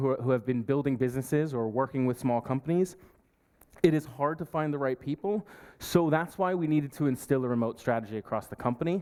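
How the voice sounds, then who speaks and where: A man with an American accent, fairly high in pitch, with a dark, mellow tone, ordinary pitch variation and a very fast pace. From US Northeast, New York. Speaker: partnerships manager at a software company. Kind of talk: conference talk.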